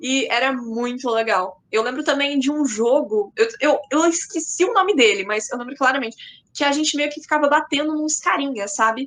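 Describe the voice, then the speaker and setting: Speaking at a moderate pace, a woman with a high pitch uses lively intonation. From Paraná, Brazil. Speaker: content creator. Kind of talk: podcast interview.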